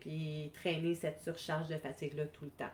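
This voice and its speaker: A woman with a Quebec accent, somewhat breathy, fairly low in pitch, at a moderate pace. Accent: Québécois French. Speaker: wellness coach. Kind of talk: live stream talk. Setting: live video stream.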